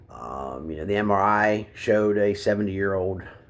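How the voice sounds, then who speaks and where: A man with an Appalachian accent speaks at a fairly slow pace in a fairly low pitch. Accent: Appalachian American. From West Virginia, US. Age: 50s. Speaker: military veteran speaking about opioid addiction. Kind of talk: personal testimony. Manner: halting, many fillers.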